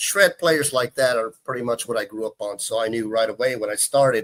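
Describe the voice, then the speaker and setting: In a Texan accent, a man speaks with monotone, flat intonation in a dry, close sound with no echo. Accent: Texan American English. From Texas, Houston. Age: 40s. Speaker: guitarist. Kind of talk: casual chat.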